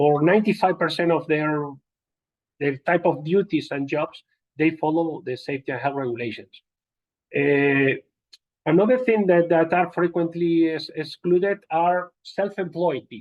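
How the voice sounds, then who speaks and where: This man talks with a Spanish accent at a moderate pace. His voice sits high and has ordinary pitch variation. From Spain. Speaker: occupational safety and health trainer. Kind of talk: lecture. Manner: halting, many fillers.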